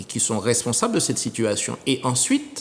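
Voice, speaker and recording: This is a man speaking. His pitch is medium. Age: 60s. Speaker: retired teacher and political candidate. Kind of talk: TV interview.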